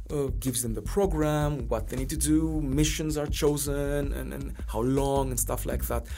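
Audible room echo and noticeable background noise around a man, moderate in pace, hardly any pauses between phrases. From Greece. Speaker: watch brand historian. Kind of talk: interview.

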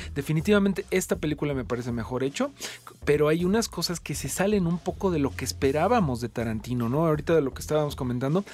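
Very fast, lively intonation from a man with a fairly high pitch, over noticeable background noise. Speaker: radio host. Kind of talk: casual chat. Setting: studio.

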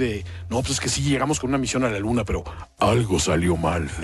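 A man talks at a very fast pace, his pitch swinging very widely. Noticeable background noise runs underneath. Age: older than co-hosts. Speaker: radio co-host. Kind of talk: casual chat.

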